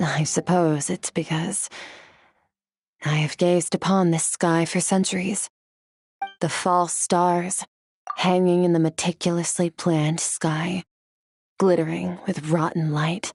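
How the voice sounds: In a put-on character voice, a woman speaks at a slow pace with long, frequent pauses and little pitch movement. Her fairly low voice has a slightly mellow tone and a slightly husky edge.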